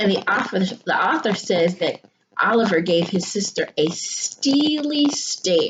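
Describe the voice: Plain reading aloud with lively intonation over a quiet background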